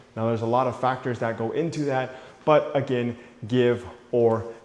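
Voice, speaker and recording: A man of medium pitch is heard over noticeable background noise. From Mexico. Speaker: realtor. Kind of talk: home tour vlog. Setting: inside a model home. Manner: casual, conversational.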